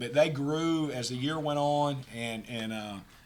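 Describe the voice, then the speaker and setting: In a Southern US accent, a man with a fairly high pitch and fairly even intonation speaks amid audible room echo. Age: 60s. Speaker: college basketball head coach. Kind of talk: post-game press conference. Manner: halting, many repeated words.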